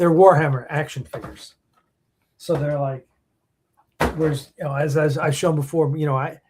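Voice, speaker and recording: With long, frequent pauses, a somewhat breathy man speaks at a moderate pace in a fairly high, monotone, flat voice. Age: 60s. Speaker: podcast host and film producer. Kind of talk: casual chat. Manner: halting, many restarts and fillers.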